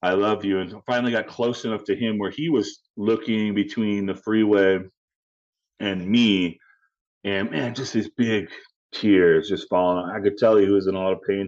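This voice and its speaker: A man with a Chicago accent, a fairly low pitch and fairly even intonation, at a moderate pace. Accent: Chicago American. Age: 40s. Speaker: suicide awareness advocate. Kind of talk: casual interview.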